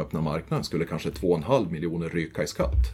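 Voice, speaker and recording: Music plays in the background. A man speaks with a very deep, low pitch. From Sweden, northern Västmanland. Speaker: forestry and tax advisor. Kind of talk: interview.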